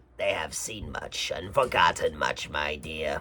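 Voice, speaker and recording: A man does a raspy put-on character voice at a fairly slow pace. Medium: read story. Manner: soft, coaxing.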